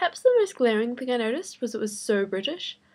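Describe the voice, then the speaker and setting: Speaking in a southern New Zealand accent, a woman shows ordinary pitch variation. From New Zealand, Invercargill. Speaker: vlogger. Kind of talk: casual vlog monologue. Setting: bedroom.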